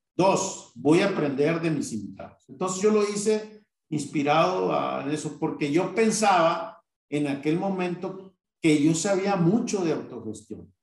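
A man's high voice with lively intonation at a fairly slow pace, with audible room echo. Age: 50s. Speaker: business owner. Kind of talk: interview. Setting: live online recording. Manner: halting.

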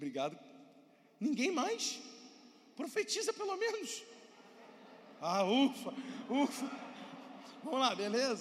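A man with an extremely high pitch speaks in an animated tone at a fairly slow pace, with very wide pitch swings and long, frequent pauses. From Brazil. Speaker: pastor. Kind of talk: sermon.

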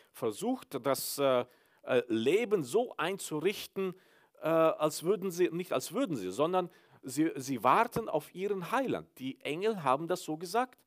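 At a fairly slow pace, a high-pitched man swings his pitch very widely, the sound dry and close with no echo. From Mennonite village in Kyrgyzstan. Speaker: pastor. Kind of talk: sermon. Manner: hesitant, many filler sounds.

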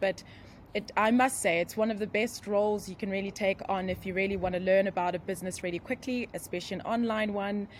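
A woman at a medium pitch with a South African accent. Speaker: internet and digital marketing expert. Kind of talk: casual interview chat. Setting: remote call, computer mic, noisy background.

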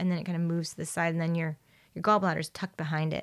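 The sound is dry and close, with no echo, on a very clean recording with a silent background. The speaker has a General American accent. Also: woman. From Cuban-American, Florida. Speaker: naturopath. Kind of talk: casual chat. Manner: animated.

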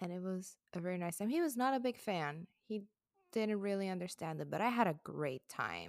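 A woman with a Puerto Rican accent talks at a fairly quick pace. The sound is dry and close with no echo, on a very clean recording over a silent background. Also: medium pitch for a woman. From Puerto Rico. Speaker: podcast co-host. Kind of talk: casual chat.

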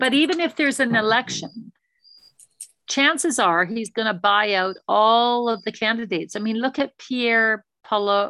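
In a Canadian accent, a woman speaks at a moderate pace with a bright, sharp tone, fairly high pitch and ordinary pitch variation. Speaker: former investment advisor. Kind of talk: presentation with Q&A. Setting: video call.

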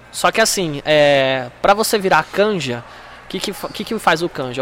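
Fairly slow, lively speech from a man with a high voice. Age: 20s. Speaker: stand-up comedian and former taekwondo athlete. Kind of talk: casual chat.

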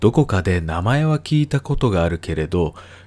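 A man with a normal speaking voice talks at a moderate pace with lively intonation on a very clean recording with a silent background. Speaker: educational YouTuber. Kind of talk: scripted narration. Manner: polite formal.

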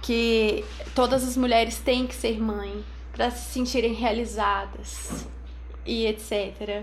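A woman talks at a very slow pace with audible room echo. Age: 20s. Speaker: photographer and new mother. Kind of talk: casual chat.

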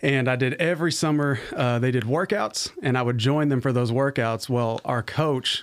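A man with a plain, everyday voice speaks at a medium pitch and moderate pace with fairly even intonation. The recording is very clean with a silent background. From Arizona, US (also lived in Virginia). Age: young. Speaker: pastor of worship. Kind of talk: casual chat. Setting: studio.

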